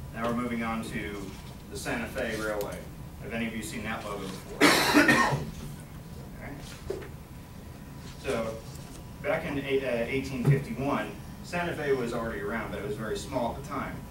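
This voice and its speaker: A man talks at a moderate pace, pausing long and often. Loud background noise runs beneath him. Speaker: college student. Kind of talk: class presentation speech. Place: classroom. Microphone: camera far.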